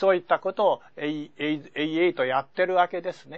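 This is a man talking. His pitch is high. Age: 70s. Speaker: science magazine editor; seminar lecturer. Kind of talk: lecture. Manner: formal. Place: studio. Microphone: lapel.

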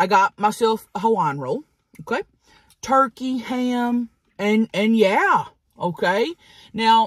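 A woman speaks in a somewhat breathy voice. The sound is dry with no echo, over a quiet background. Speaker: mukbang host. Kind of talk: casual vlog chat. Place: car.

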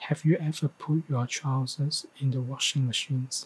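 Somewhat breathy, a man talks in a monotone, flat intonation. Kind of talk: reading practice of a news text. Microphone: studio mic.

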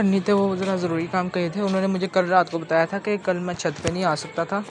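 A man with a high voice talks at a moderate pace in a dry sound with no echo, with noticeable background noise behind him. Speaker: bird keeper vlogger. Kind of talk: casual vlog chat. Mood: apologetic, a bit rushed. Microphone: phone near.

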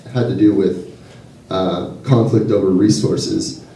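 A man speaks in a fairly low pitch with an American accent. Room echo is audible. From Southern California. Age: 20s. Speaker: graduate student activist. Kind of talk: public speech at a rally. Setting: public event with audience. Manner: halting, many fillers and repetitions. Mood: earnest, concerned. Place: hall.

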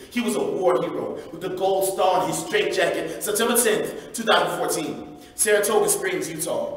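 An American-accented man talks at a moderate pace with hardly any pauses and an intense tone, his voice carrying strong room echo. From United States. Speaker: spoken word poet. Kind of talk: live spoken word poetry performance. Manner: intense, impassioned. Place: church.

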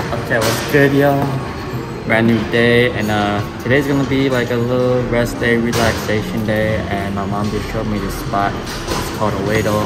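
Loud music plays in the background. Over it, a man talks at a moderate pace. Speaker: vlogger. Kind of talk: casual vlog chat. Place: hall. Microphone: earbuds.

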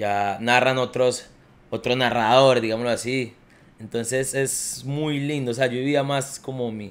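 A man talks at a fairly slow pace. His intonation is monotone and flat. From Colombia, Quindío (Armenia); Quindío, Colombia. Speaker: professional footballer; podcast guest. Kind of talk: casual chat. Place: home room. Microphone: studio mic.

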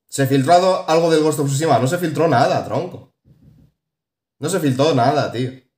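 An animated man speaks at a fairly high pitch and a moderate pace, with long, frequent pauses. There is audible room echo against a quiet background. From Spain. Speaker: gaming YouTuber; gaming commentator. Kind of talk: casual video commentary. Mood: opinionated, mildly exasperated. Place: home room. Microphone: phone near.

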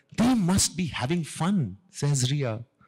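A man's voice carries lively intonation and is somewhat breathy. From Delhi, India. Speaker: radio jockey. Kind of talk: children's story reading. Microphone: handheld.

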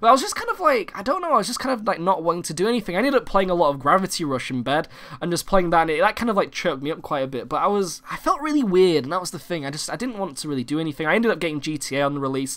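A man's animated, high-pitched voice at a very fast pace, with very wide pitch swings. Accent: British. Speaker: gaming YouTuber. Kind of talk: casual vlog update. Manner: halting, many fillers.

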